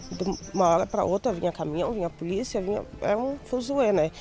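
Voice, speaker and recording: A woman's medium-pitched voice with lively intonation, at a moderate pace, amid noticeable background noise. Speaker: quilombo resident. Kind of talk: documentary interview.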